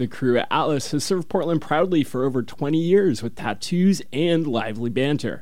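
A man talks at a moderate pace with hardly any pauses, in an unremarkable speaking voice. His pitch is fairly high and his intonation lively. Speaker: radio host. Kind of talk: radio DJ patter, casual and rambling between songs. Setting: home basement studio. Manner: relaxed, laid-back, conversational, with filler words and laughs.

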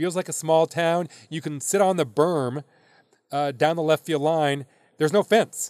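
A man with an American accent has a plain, everyday voice, fairly high in pitch, with fairly even intonation at a moderate pace and a dry, close sound with no echo. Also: very clean recording, silent background. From US Midwest. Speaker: baseball league commissioner. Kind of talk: interview.

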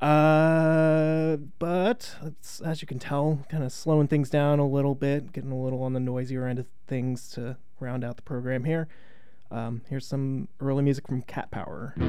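Using a normal speaking voice, a man speaks at a moderate pace in a fairly high pitch with fairly even intonation. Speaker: radio host. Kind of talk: radio DJ patter, back-announcing tracks. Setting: radio studio. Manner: conversational, slightly stumbling.

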